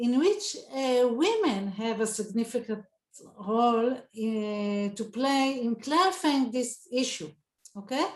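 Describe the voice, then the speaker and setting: A woman at a high pitch in an Israeli accent, very slow in pace with lively intonation. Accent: Israeli Hebrew. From Israel, southern kibbutz. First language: Hebrew. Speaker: Talmud scholar. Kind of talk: panel talk. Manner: halting.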